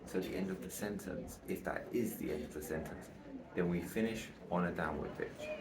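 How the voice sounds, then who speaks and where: Speaking at a fairly quick pace, a man with a very deep, low pitch comes through audible room echo and noticeable background noise. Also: ordinary pitch variation. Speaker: aspiring public speaker, vlogger. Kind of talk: casual vlog tutorial. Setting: outdoors on a balcony. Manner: quieter than usual.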